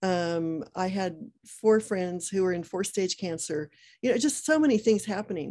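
In an American accent, a woman speaks at a moderate pace with lively intonation and a dark, mellow tone against a quiet background. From United States. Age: 60s. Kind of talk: interview. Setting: video call. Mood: warm, earnest, faith-filled. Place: home room. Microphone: video call.

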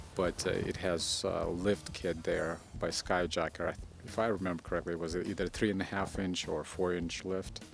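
Music plays in the background as a man speaks at a fairly slow pace. His very deep, low voice has fairly even intonation and a dry sound with no echo. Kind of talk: casual spoken commentary on vehicle specs.

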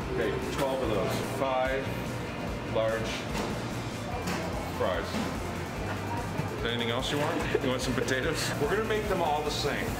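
Loud music plays behind a man speaking at a moderate pace with ordinary pitch variation. He takes long, frequent pauses. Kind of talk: casual ordering chat. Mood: relaxed, joking. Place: cafe. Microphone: phone near.

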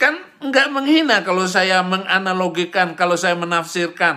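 His voice is high-pitched with a bright, sharp tone. The man speaks at a moderate pace with ordinary pitch variation. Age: 50s. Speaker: preacher. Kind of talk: religious commentary monologue.

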